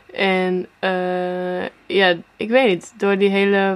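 Monotone, flat intonation in a woman's medium-pitched speech. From Netherlands, Apeldoorn. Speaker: singer-songwriter. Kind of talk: interview.

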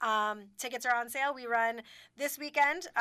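A woman speaks with a fairly high pitch, a bright, sharp tone and fairly even intonation. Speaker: community theater director. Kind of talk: radio interview. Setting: studio. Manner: fast talker.

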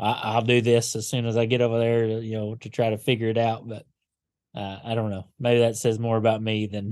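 In a Kentucky accent, a man talks at a fairly quick pace with flat, monotone intonation over a quiet background. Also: medium pitch for a man. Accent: Southern US (Kentucky). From western Kentucky (Paducah). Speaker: pastor. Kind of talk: interview conversation. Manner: halting, with many fillers.

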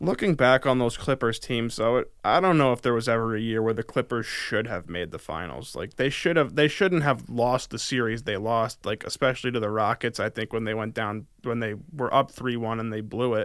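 At a fairly quick pace, a man with an ordinary speaking voice talks at medium pitch with ordinary pitch variation. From upstate New York, near Albany. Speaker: sports podcast co-host, student. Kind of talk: casual sports chat.

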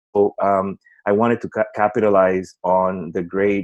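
A man's fairly low voice with a Spanish accent, dry and close with no echo. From Puerto Rico. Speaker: education company executive. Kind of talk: interview.

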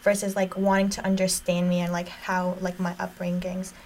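Over noticeable background noise, a woman with an American accent talks at a fairly quick pace and medium pitch. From Jordan, then US from 2009. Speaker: college student. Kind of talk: casual chat.

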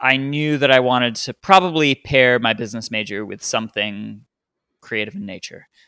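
This man's voice sits at a medium pitch with ordinary pitch variation and a bright, sharp tone, moving at a moderate pace. The sound is dry and close with no echo, on a very clean recording with a silent background. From Australia, Townsville then New Orleans. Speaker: magician. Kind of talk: interview.

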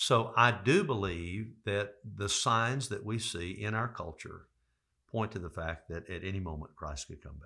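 On a very clean recording with a silent background, a man with a fairly low pitch and ordinary pitch variation speaks at a moderate pace in a bright, sharp tone, with big swings in loudness. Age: 60s. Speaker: pastor. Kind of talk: interview.

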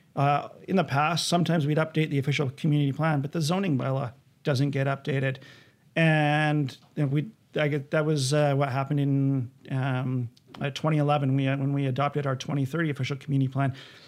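In a Canadian accent, a man talks at a fairly quick pace with a fairly high pitch. His intonation stays monotone and flat. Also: very clean recording, silent background. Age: 40s. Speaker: city planning director. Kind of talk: interview.

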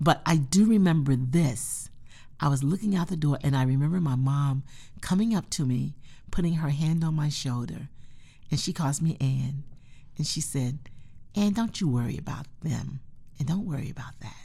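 Speaking with an American accent, a woman has a very deep, low pitch, a dark, mellow and somewhat breathy tone, ordinary pitch variation, a moderate pace, and long, frequent pauses. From North Carolina, US South. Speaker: museum director. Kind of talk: interview.

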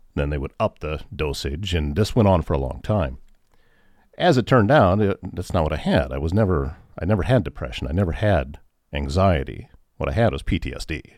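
A man with a Midwestern American accent speaks at a fairly quick pace in a very deep, low voice with vocal fry and lively intonation, recorded very cleanly against a silent background. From Northwest Iowa. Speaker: radio station manager and morning show host. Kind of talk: personal testimony in interview. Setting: radio studio.

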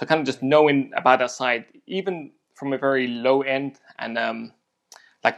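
Against a quiet background, a man speaks with a London accent. His medium-pitched voice keeps a fairly even intonation. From South London, England. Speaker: photographer. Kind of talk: interview. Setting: video call.

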